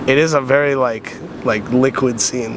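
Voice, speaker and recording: Through noticeable background noise, a man with an American accent speaks with fairly even intonation. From US Midwest, Wisconsin. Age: 20s. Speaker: competitive gamer and university student. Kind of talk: casual interview. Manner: casual, filler-heavy.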